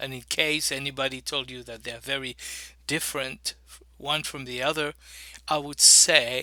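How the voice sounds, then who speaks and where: In a very clean recording with a silent background, a man speaks at a moderate pace in a fairly high, flat monotone with a bright, sharp tone, big swings in loudness, and long, frequent pauses. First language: French. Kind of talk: teaching talk.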